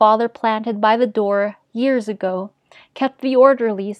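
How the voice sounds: A natural reading voice is heard, with quiet surroundings behind it.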